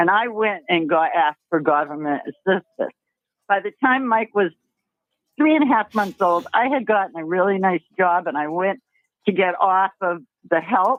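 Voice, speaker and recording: Speed sits at a moderate level. The voice rises and falls in a lively way. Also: woman, medium pitch for a woman. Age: 60s. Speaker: caller. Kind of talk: casual chat. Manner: animated.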